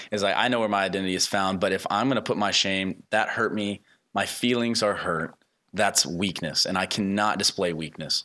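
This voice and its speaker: Bright and sharp in tone, a man talks at a fairly quick pace with fairly even intonation and very even loudness. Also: fairly low pitch for a man. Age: 20s. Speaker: podcast host. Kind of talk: interview.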